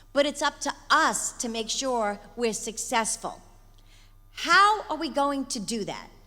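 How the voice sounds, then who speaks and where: The voice is raised and projected, bright and sharp in tone. Its intonation is lively. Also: woman, high pitch for a woman. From Long Island, New York. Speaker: environmental group leader. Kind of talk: conference speech. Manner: fast.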